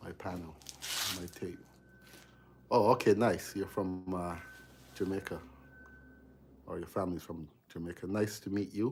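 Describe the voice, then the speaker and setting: Big swings in loudness from a man with a very deep, low voice, at a moderate pace with long, frequent pauses. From Barbados. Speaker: electrician live-streaming his work. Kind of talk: casual live-stream chat while working. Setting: basement electrical room.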